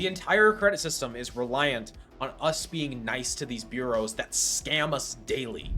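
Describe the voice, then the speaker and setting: With music in the background, a man speaks in a fairly high pitch, his tone animated and his intonation lively. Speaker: personal finance YouTuber. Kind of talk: direct-to-camera tutorial. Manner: fast.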